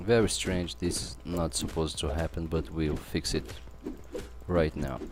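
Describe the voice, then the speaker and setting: Speaking at a fairly slow pace, a man with a non-native accent has a very deep, low pitch. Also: ordinary pitch variation. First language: not English. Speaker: game developer. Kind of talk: live coding tutorial. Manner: halting.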